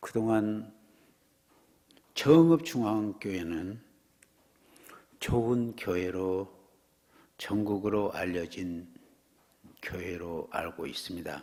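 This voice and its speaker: A man with a fairly low pitch and a dark, mellow tone speaks very slowly, with lively intonation and long, frequent pauses. Audible room echo surrounds him. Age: 60s. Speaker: guest preacher. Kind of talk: sermon. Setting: church.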